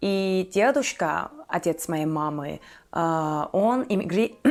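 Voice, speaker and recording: Speech in a Turkish accent comes through in a very clean recording with a silent background. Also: woman. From Turkey. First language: Turkish (speaking Russian). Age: 20s. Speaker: YouTuber. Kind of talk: casual vlog monologue. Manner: hesitant, many fillers.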